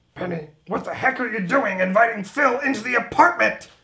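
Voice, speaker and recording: This is a cartoonish character voice with a Texan-free, fairly high pitch. It moves at a fairly quick pace. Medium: puppet show. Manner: exasperated, sarcastic.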